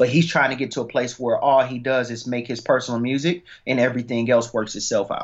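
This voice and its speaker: A man with an unremarkable speaking voice talks at medium pitch. He keeps a fairly quick pace and fairly even intonation. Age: 20s. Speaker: independent rapper. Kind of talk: interview.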